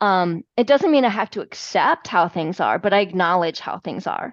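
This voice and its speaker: A woman speaks at a moderate pace with lively intonation, her voice dry and close with no echo over a quiet background. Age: 50s. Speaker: health and fitness coach. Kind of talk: interview.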